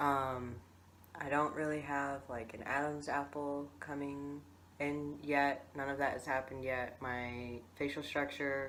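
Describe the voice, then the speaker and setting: A man's fairly high, bright, sharp voice in a flat monotone at a fairly slow pace, with audible room echo. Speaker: vlogger. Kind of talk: video diary. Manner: casual, many fillers.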